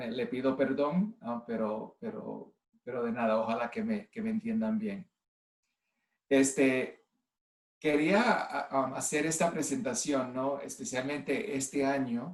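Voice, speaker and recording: A man with very wide pitch swings at a fairly slow pace. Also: medium pitch for a man. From US (Cleveland, Ohio), Puerto Rican family. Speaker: nurse and clinical informatics executive. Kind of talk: online presentation. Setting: video call from home. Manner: halting, many fillers.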